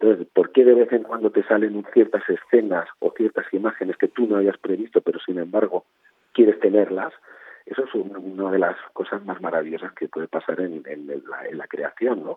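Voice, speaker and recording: Loudness rises and falls sharply in this man's speech. He keeps a moderate pace. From Spain, Barcelona. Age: 50s. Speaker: novelist. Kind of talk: interview.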